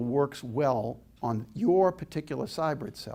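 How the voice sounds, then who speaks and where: A man with a slight Boston accent speaks at a fairly high pitch with lively intonation, in a very clean recording with a silent background. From Boston, Massachusetts. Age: 70s. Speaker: inspirational speaker. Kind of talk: public lecture with audience Q&A. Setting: stage with audience. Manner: animated.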